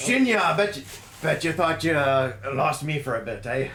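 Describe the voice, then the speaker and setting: A man's gruff, put-on character voice, fairly high in pitch, at a moderate pace over clear background noise. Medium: actual play. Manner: folksy, joking, ends lines with "eh".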